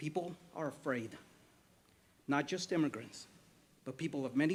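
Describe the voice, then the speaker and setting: Fairly high-pitched man, moderate pace, ordinary pitch variation. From Mexico-born, raised in the United States. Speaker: resident giving public comment, doctor. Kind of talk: prepared public statement. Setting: city council meeting. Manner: formal.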